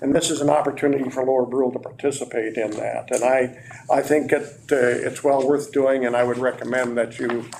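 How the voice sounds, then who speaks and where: A man speaks at a fairly quick pace in a medium pitch with monotone, flat intonation over noticeable background noise. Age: 70s. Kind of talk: council meeting presentation. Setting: council meeting, on camera.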